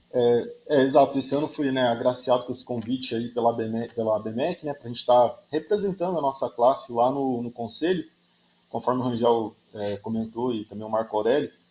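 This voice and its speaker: Pitch varies in an ordinary way, at a moderate pace. The voice has a dark, mellow tone. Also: man, medium pitch for a man. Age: 30s. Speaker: engineering professor. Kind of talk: podcast interview. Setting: remote recording from university office. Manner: frequent hesitations.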